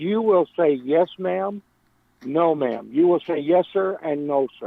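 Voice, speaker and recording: Lively intonation from a man with a fairly high pitch and a Texan accent. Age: 70s. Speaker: caller. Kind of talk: phone-in call.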